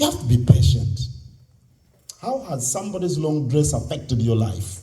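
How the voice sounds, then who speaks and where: Speaking with a Ugandan accent at a moderate pace, a man with a medium pitch makes very wide pitch swings amid audible room echo. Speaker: convention speaker. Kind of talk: speech to youth audience.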